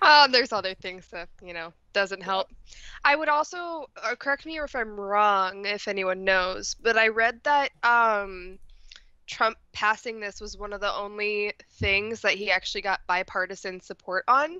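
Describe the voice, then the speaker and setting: Speaking at a fairly slow pace with an American accent, a woman uses lively intonation and big swings in loudness, her tone bright and sharp, in a dry sound with no echo against a quiet background. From United States. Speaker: panelist. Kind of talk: casual chat. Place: home room. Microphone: video call.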